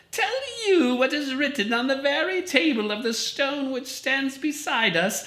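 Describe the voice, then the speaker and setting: Using a put-on character voice, a woman speaks at a moderate pace in a high, shrill pitch over light background noise. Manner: accusatory, rising.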